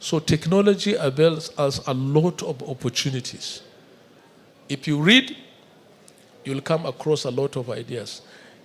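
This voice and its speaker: A man's somewhat breathy, fairly high voice at a fairly slow pace, with long, frequent pauses. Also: ordinary pitch variation. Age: 60s. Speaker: government regulator chairman. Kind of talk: speech to students.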